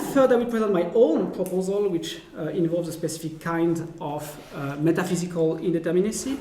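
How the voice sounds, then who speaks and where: Speaking with a French accent, a man uses a high voice with ordinary pitch variation. Audible room echo and noticeable background noise run through the clip. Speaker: philosopher. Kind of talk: lecture. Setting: academic seminar. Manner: halting, many fillers.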